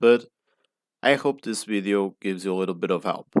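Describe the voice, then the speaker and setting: The recording of this man with a Portuguese accent is very clean, with a silent background. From Portugal. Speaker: pronunciation tutor. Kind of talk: tutorial. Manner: halting.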